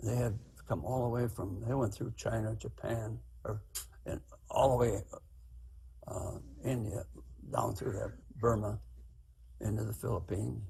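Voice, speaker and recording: Using long, frequent pauses, a man with a fairly low pitch speaks at a moderate pace in a dark, mellow tone with vocal fry and ordinary pitch variation. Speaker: war veteran. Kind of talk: testimony. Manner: halting.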